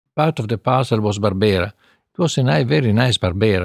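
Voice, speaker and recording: A man with an Italian accent speaks at a fairly quick pace and a fairly low pitch, with ordinary pitch variation. The recording is very clean with a silent background. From northern Italy. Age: 80s+. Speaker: winemaker. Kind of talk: interview.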